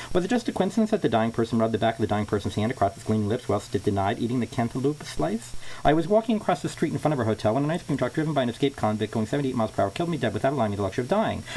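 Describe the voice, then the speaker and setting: A man's medium-pitched voice, very fast and lively in intonation, with hardly any pauses and noticeable background noise. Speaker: amateur reader. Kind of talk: reading aloud. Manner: halting.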